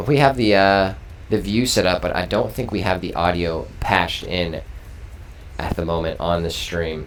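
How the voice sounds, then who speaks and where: A man's very deep, low voice with lively intonation, a moderate pace and audible room echo. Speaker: esports stream host. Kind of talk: post-match interview. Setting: live stream. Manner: loud. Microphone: echo on the stream audio.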